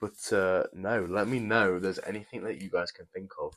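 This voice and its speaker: A man speaks with an English accent. His pace is moderate. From England. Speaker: YouTuber building brick sets. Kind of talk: live stream chat while building. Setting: live stream. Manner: casual, chatty.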